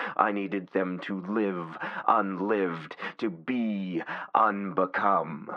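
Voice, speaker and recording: Speaking very slowly, a man uses a fairly low pitch and fairly even intonation. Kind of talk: dark horror monologue. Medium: solo performance. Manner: slow, cold, grandiose.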